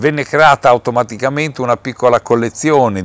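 A man with ordinary pitch variation, recorded dry with no echo. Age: 60s. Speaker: museum president, nursery businessman. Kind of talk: interview. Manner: halting, with many fillers. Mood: calm. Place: hall.

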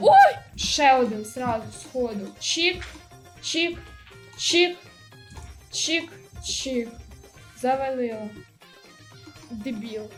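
With music in the background, a woman speaks at a very slow pace, with long, frequent pauses. Her pitch is high and her intonation lively. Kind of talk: casual gaming commentary. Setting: low-quality microphone.

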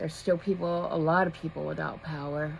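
A woman's fairly low voice at a moderate pace, with fairly even intonation and light background noise. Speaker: vlogger. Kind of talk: casual vlog chat. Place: home room. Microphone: phone near.

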